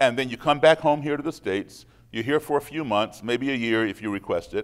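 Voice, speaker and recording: A man with a plain, everyday voice talks at a fairly quick pace and medium pitch with ordinary pitch variation on a very clean recording with a silent background. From US, raised partly overseas as embassy child. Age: 60s. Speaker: musician and speaker against racism. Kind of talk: public talk to audience.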